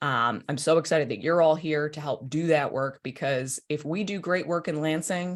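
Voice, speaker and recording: A woman with a very deep, low voice speaks at a moderate pace in an animated tone. Her pitch varies in an ordinary way over a quiet background. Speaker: state senator. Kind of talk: political update to party members.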